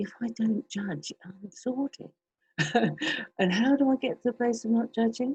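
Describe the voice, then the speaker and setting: A woman speaks with a dark, mellow tone and a somewhat breathy quality. The sound is dry and close, with no echo. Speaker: meditation teacher. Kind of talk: reflective group sharing. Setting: video call. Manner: gentle. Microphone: distorted sound.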